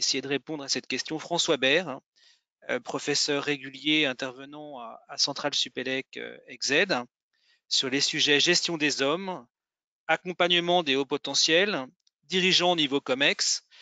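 A man at a fairly high pitch with fairly even intonation, a fairly slow pace and long, frequent pauses, in a dry sound with no echo and a quiet background. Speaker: executive education program director. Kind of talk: formal introduction. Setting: video call. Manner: halting. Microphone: video call.

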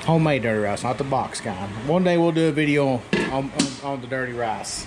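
Against clear background noise, a man with a medium pitch talks at a fairly quick pace, with ordinary pitch variation.

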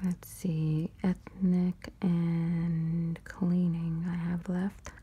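Soft-spoken words come at a very slow pace. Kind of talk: casual vlog chat. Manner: soft-spoken ASMR murmur. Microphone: phone near.

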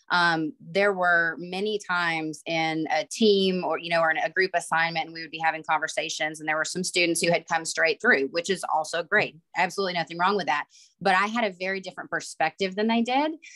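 A woman talks at a fairly quick pace with a Southern US accent and hardly any pauses, her fairly low pitch held in fairly even intonation. Her tone is bright and sharp, and the background is quiet. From Alabama, US South. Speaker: IT manager at a utility, online MBA alumna; panelist. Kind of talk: panel discussion. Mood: reflective, earnest. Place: home room. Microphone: video call.

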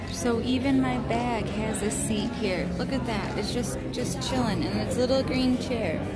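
Music plays behind the speaker. She is a woman talking at a fairly slow pace. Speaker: vlogger diner. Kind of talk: casual vlog chat. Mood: delighted, admiring. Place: cafe.

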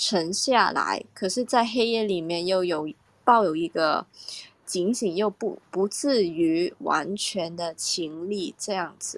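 A woman at a very slow pace, medium in pitch, with ordinary pitch variation. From Hong Kong. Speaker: audience member. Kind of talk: casual sharing.

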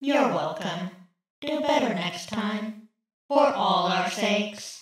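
In a cartoonish character voice, a female-sounding speaker talks at a very slow pace and medium pitch, with a strong echo around her. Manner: sarcastic, deadpan.

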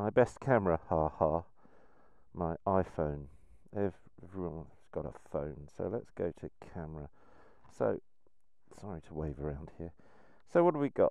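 Over a quiet background with a dry sound and no echo, a man with a very deep, low pitch speaks at a moderate pace, showing ordinary pitch variation, big swings in loudness and long, frequent pauses. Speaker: motorcycle photography vlogger. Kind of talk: tutorial. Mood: relaxed, cheerful. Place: open country. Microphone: phone near.

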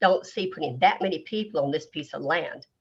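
The speaker is a woman with a North Carolina accent. She talks at a fairly quick pace. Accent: North Carolina Southern. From US South. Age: 60s. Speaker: local resident making public comment. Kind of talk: public comment. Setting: video conference or phone call.

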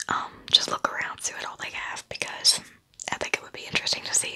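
Whispering and soft-spoken, a woman rushes along at a very fast pace with big swings in loudness. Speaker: ASMR creator. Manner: soft ASMR whisper close to the mic. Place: home room. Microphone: studio mic.

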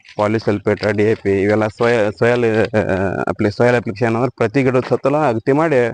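In an unremarkable speaking voice, a man talks at a medium pitch with fairly even intonation and very even loudness. The sound is dry and close, with no echo. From northern Karnataka, Vijayapura district. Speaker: farmer and village council president. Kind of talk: interview on farm.

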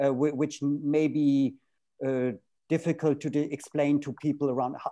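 A man speaks at a moderate pace against a quiet background. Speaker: panel moderator. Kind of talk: moderated panel discussion. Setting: video call. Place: home room. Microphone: earbuds.

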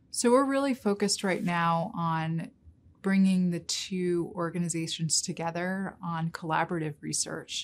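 A woman with an American accent talks at a moderate pace, using a fairly low pitch with ordinary pitch variation. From New York City. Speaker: investment research director. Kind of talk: interview. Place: meeting room.

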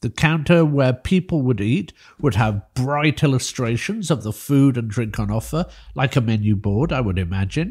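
A man speaks at medium pitch and a moderate pace. His tone is slightly mellow.

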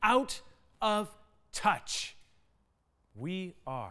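In a quiet background, a man speaks with a bright, sharp tone and lively intonation. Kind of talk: dramatic spoken-word poetry. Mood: urgent, earnest. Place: studio.

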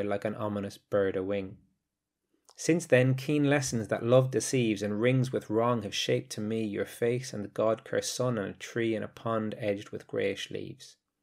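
In a plain, everyday voice, the speaker moves at a moderate pace with ordinary pitch variation on a very clean recording with a silent background. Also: man. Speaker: English teacher. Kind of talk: educational podcast lecture, with a poem read aloud. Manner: clear, measured teacherly delivery; measured, solemn, grave reading with pauses at line breaks.

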